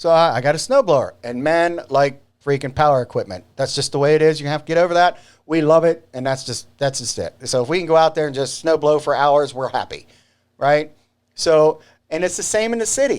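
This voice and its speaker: A man with a slight country accent sounds animated. His pitch is fairly high, with ordinary pitch variation. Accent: slight country twang. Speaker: video show host. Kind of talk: casual monologue to camera. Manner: not slow.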